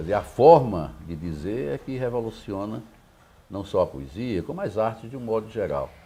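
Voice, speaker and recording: A man with a dark, mellow tone and vocal fry speaks at a moderate pace in a fairly low pitch, his voice making very wide pitch swings and big swings in loudness. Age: 70s. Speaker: poet and academic. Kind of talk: interview.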